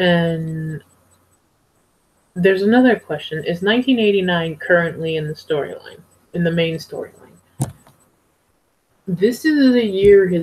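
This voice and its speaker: A woman's fairly low, somewhat breathy voice at a fairly slow pace, with ordinary pitch variation and long, frequent pauses. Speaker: TV show reviewer. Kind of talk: casual vlog review. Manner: halting.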